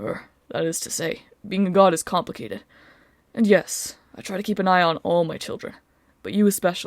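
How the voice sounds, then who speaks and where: A woman's gruff, rumbling put-on character voice at medium pitch and a fairly quick pace, on a very clean recording with a silent background. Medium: read story. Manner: gruff, grumbling.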